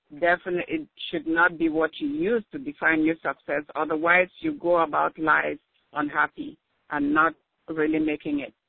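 This woman has a Cameroonian accent and a fairly low pitch. She speaks at a moderate pace with ordinary pitch variation. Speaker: nurse and contributing author. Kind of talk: interview. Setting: phone call. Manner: halting.

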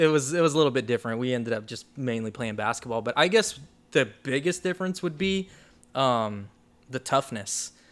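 In a normal speaking voice, a man with an American accent talks at a moderate pace and medium pitch, his intonation lively, on a very clean recording with a silent background. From Oklahoma and the Philippines. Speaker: basketball coach and charity director. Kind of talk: interview.

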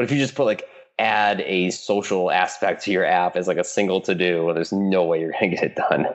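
Someone with a Midwestern American accent talks at a fairly quick pace, with very even loudness and ordinary pitch variation. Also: man, fairly low pitch for a man. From US Midwest, Michigan. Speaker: app founder. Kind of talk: interview.

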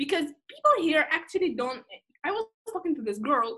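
A woman with a Russian accent speaks in a raised, projected voice at a fairly quick pace. Her high pitch, bright, sharp tone and very wide pitch swings stand out. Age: 20s. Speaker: guest. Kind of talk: casual chat. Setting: video call.

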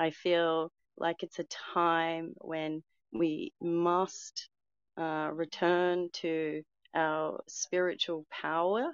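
A woman with an Australian accent at a fairly low pitch, very slow pace and monotone, flat intonation. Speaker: twin flame coach. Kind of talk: casual chat. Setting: online audio room.

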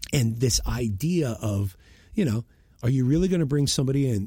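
Somewhat breathy and dark, mellow in tone, a man with an American accent speaks at a moderate pace with lively intonation on a very clean recording with a silent background. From US Northeast (Boston). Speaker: podcast host, brand messaging strategist. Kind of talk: solo monologue commentary.

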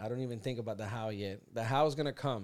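A man's animated tone on a very clean recording with a silent background. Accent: Puerto Rican. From Puerto Rico, raised in South Florida. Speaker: podcast host. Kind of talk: casual chat. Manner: animated, jokey.

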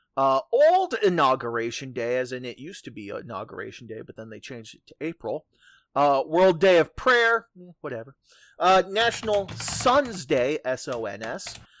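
Music plays behind the voice, which moves at a moderate pace. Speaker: podcast host. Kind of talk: casual chat. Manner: filler-heavy, relaxed.

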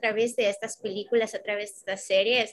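A woman is talking. Her voice sounds bright and sharp. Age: 20s. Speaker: podcast co-host, preschool teacher. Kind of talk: casual chat.

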